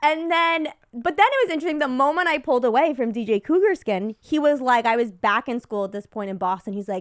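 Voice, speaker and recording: A woman speaks very fast in a high voice, barely pausing. Her tone is animated, with very wide pitch swings. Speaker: podcast guest. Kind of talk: casual chat.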